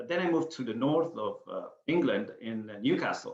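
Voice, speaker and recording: A man talks with an Italian accent. His pace is moderate. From Sicily, Italy. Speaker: author and photographer. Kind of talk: interview. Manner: halting.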